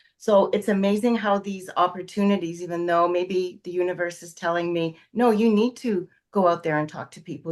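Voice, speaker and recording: A woman with a Canadian accent speaks in an unremarkable speaking voice at medium pitch, with ordinary pitch variation, a moderate pace, and a quiet background. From Canada. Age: 60s. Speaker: astrology student. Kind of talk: casual interview chat.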